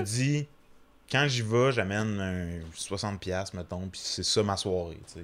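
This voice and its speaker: A plain, everyday voice with ordinary pitch variation and big swings in loudness comes through in a very clean recording with a silent background. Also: man. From Quebec, small town. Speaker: comedian. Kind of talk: casual chat.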